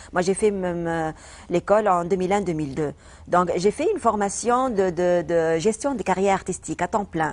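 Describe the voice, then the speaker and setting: A woman in a Tunisian accent, medium pitch with ordinary variation, moderate pace, quiet background. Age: 40s. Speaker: comedian. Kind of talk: interview. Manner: halting, many hesitations and repetitions.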